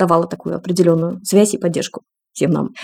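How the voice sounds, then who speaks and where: A woman's dark, mellow tone at a very fast pace. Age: 40s. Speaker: breastfeeding consultant and mother. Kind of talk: personal testimony in podcast interview.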